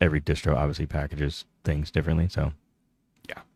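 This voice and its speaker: A man talks in a monotone with flat intonation. The sound is dry and close, with no echo. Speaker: Linux streamer. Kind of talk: live stream chat reading comments. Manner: casual, with many fillers; trips over words when reading chat.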